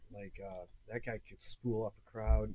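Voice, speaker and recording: A man at a fairly slow pace. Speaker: hardcore punk vocalist and war veteran. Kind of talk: casual chat. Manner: casual, halting.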